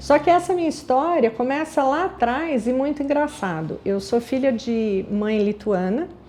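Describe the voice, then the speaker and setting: At a fairly slow pace, a woman with a dark, mellow tone talks in very wide pitch swings. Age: 60s. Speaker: aromatherapy business founder. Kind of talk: personal life story. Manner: conversational.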